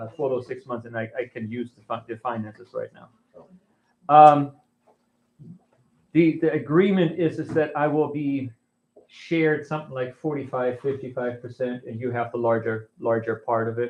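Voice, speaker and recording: At a moderate pace, a man with an American accent speaks in a medium pitch with ordinary pitch variation, big swings in loudness, and long, frequent pauses. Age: 60s. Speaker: pastor. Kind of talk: congregational meeting address. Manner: halting, many repetitions.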